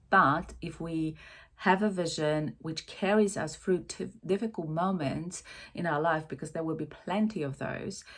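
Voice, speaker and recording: A woman with a non-native accent speaks at a fairly slow pace with a fairly low pitch and ordinary pitch variation. The recording is very clean, with a silent background. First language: not English. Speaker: life coach. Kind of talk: casual talk to camera. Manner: hesitant, many fillers.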